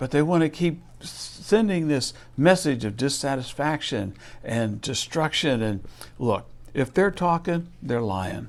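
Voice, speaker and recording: At a fairly slow pace, a man speaks at medium pitch with very wide pitch swings. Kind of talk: sermon-style talk to camera. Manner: conversational, earnest, slightly indignant.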